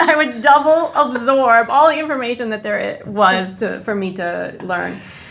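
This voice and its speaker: A woman's fairly high voice with lively intonation at a moderate pace, plus audible room echo and noticeable background noise. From northwest Indiana / Chicago area (Lansing, Illinois), born in Jordan. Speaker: chemical engineer, corporate manager. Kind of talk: podcast interview.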